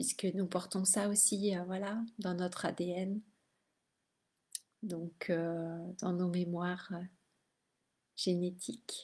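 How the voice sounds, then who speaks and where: A soft-spoken woman's voice, somewhat breathy with a dark, mellow tone, medium in pitch, monotone and flat, at a very slow pace with long, frequent pauses. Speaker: spiritual teacher and energy healer. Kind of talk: casual live video monologue. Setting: late-night live stream. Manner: hesitant, many fillers.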